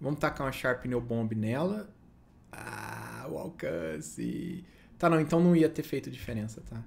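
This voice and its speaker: Lively intonation runs through a voice marked by vocal fry. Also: man. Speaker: gaming youtuber. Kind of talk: gameplay commentary. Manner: casual, chatty.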